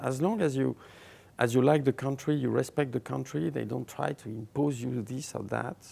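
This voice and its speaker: A dark, mellow tone with vocal fry, a French accent and a moderate pace. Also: man. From France. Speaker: writer. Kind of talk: interview answer.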